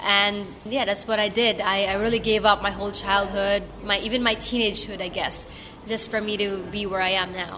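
The voice stays monotone with flat intonation against noticeable background noise. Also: woman, medium pitch for a woman, fairly quick pace. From Philippines. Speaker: racing driver. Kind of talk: casual interview.

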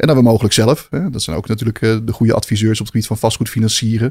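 Very fast speech from a man, fairly low in pitch, with fairly even intonation. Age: 40s. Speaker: co-founder of a corporate finance firm. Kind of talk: interview. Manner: hesitant, many filler sounds.

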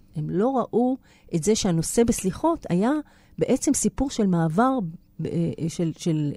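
Somewhat breathy, a woman's voice has a dark, mellow tone and very wide pitch swings. The sound is dry and close with no echo, on a very clean recording with a silent background. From Israel. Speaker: actress and theatre writer. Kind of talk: interview. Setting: studio.

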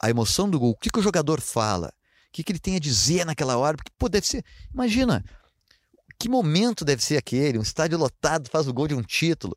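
A man with a fairly high pitch speaks at a fairly quick pace, his pitch swinging very widely. The recording is very clean with a silent background, dry and close with no echo. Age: 50s. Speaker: TV sports reporter and amateur runner. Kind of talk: casual interview.

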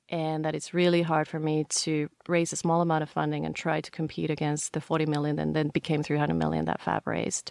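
With a Finnish accent, a woman speaks at a very fast pace with hardly any pauses in a dry, close sound with no echo. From Finland. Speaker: startup founder. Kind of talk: interview.

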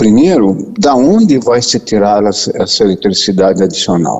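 Over noticeable background noise, a man with a fairly low voice speaks with ordinary pitch variation. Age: 60s. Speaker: physician and professor. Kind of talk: interview. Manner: halting.

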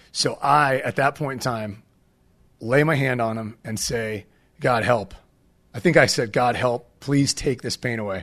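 A man talks at a fairly slow pace with medium pitch in a plain, everyday voice. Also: ordinary pitch variation. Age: 40s. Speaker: skate ministry founder. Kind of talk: casual interview storytelling.

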